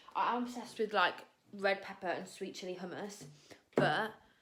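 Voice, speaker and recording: A woman speaks with an English accent. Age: 20s. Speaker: vlogger and dance student. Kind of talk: casual vlog. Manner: fast; animated.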